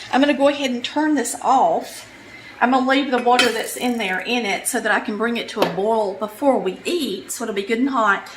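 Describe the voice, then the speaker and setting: With a Southern US accent, the speaker moves at a fairly quick pace over noticeable background noise. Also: woman, high pitch for a woman, ordinary pitch variation. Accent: Southern US (Georgia). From Polk County, Georgia, US. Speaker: home cook, cooking channel host. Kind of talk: casual cooking tutorial talk to camera.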